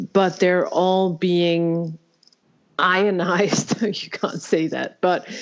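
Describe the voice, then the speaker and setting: A woman with a Danish accent speaks at a medium pitch in a monotone, flat intonation and at a very slow pace. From Denmark. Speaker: podcast host. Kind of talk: interview conversation. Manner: halting.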